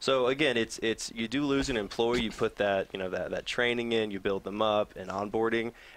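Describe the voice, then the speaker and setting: A man speaks with a slight Southern US accent and fairly even intonation. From US South. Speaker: nonprofit program assistant. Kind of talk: interview.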